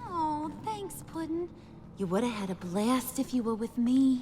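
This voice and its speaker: Over clear background noise, a female-sounding voice in a high-pitched, sing-song put-on character voice moves at a moderate pace. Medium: video game. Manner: sing-song, teasing.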